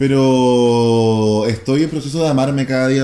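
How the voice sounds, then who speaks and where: A man in a Chilean accent, medium in pitch and animated in tone, with audible room echo. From Chile, San Antonio coast. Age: 20s. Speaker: TikToker. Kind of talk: casual chat.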